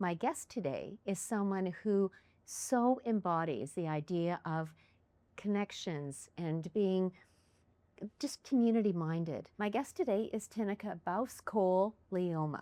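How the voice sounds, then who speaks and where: With a Canadian Prairie accent, a woman talks in a dark, mellow tone and lively intonation. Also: medium pitch for a woman, fairly slow pace. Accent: Canadian English (Prairies). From Canada, Winnipeg, Manitoba. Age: 60s. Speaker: podcast host. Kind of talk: casual interview chat.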